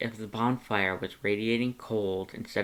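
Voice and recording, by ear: A natural voice reading aloud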